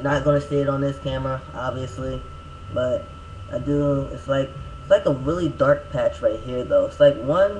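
Light background noise sits behind the voice. A man talks at a moderate pace. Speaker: vlogger giving a personal update. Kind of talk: casual vlog chat. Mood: relaxed, a little self-mocking. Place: home room. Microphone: webcam.

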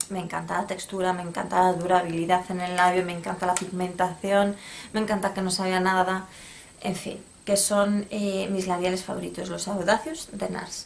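A woman talks at a moderate pace. Her intonation is flat and monotone. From Spain. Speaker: beauty YouTuber. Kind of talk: product review vlog. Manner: casual, hesitant. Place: home room. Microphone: phone near.

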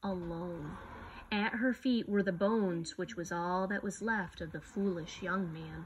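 Over light background noise, a woman with a medium pitch and a somewhat breathy voice speaks at a fairly slow pace. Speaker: storyteller reading a picture book aloud. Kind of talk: slow, solemn reading aloud of a legend, with a hushed, reverent storybook tone. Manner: measured and dramatic, pausing for effect. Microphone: phone near.

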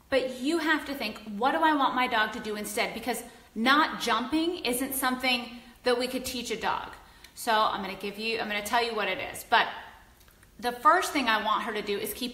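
Audible room echo surrounds a woman speaking at a moderate pace in a high voice. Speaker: dog trainer. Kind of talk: instructional, video tutorial. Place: home room. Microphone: phone near.

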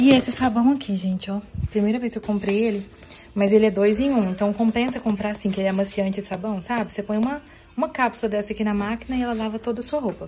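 Against light background noise, a woman talks at a very fast pace in a fairly high pitch with fairly even intonation. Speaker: vlogger and mother; vlogger. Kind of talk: casual vlog talk. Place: home room. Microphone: phone near.

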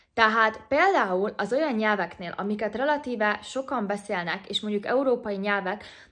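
With a quiet background, a woman speaks in a plain, everyday voice at fairly high pitch and a moderate pace. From Hungary. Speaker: YouTuber. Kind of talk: vlog-style advice talk. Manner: casual, chatty. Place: home room. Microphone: phone near.

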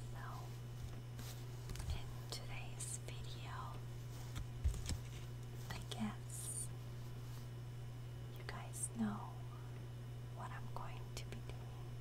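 A woman talks at a very slow pace with long, frequent pauses. Loud background noise fills the recording. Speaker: ASMR creator. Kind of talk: ASMR chocolate tasting. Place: kitchen. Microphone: lapel.

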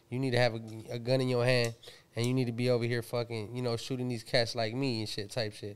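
A very fast man with an American accent, medium in pitch and monotone, flat in intonation. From Pomona, Southern California; Southern California. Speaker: rapper and producer; podcast guest. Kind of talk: casual interview chat. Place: home room. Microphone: studio mic.

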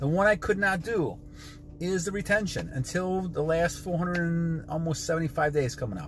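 At a fairly slow pace, a man speaks in a high voice with ordinary pitch variation. The sound is dry with no echo, and light background noise is present. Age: 60s. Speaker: motivational vlogger. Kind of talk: motivational monologue. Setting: in a car. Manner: animated. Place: car. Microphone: phone near.

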